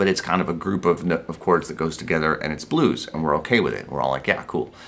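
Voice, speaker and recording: A man talks at a very fast pace. His very deep, low pitch shows ordinary variation. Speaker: guitar teacher. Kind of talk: tutorial. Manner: casual.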